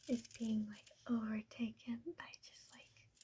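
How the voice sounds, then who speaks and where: A woman speaks in a soft-spoken way. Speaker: ASMR creator. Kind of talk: casual talk to camera. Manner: soft-spoken, rambling.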